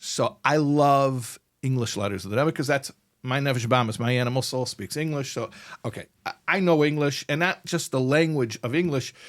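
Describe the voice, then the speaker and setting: A man with an American accent has an unremarkable speaking voice at a fairly high pitch. He talks at a fairly quick pace with ordinary pitch variation. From United States. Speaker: rabbi and podcast host. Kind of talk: casual interview conversation. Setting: studio.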